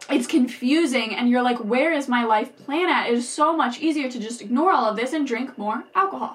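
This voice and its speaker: Over noticeable background noise, a woman talks at a fairly quick pace in a high, animated voice with ordinary pitch variation and hardly any pauses. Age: 20s. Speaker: podcast host sharing personal recovery story. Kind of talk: personal monologue.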